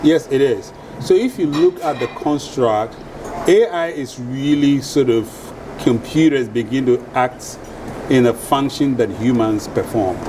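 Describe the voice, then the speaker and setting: Noticeable background noise behind a man's fairly slow speech, its pitch varying in an ordinary way. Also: medium pitch for a man. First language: a Ghanaian or other African language. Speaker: venture capitalist. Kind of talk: panel discussion. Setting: stage with live audience.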